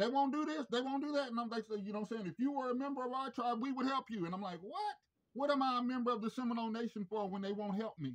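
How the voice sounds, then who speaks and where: A man's extremely high-pitched voice at a very fast pace, with ordinary pitch variation. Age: 50s. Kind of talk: phone complaint call. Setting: phone call. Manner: halting. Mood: aggrieved, confrontational. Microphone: phone near.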